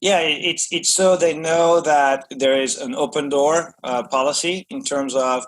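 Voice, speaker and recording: Speaking with a French accent, a man uses a fairly high pitch and ordinary pitch variation. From France. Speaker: business executive. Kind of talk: podcast interview. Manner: hesitant, many fillers and repetitions.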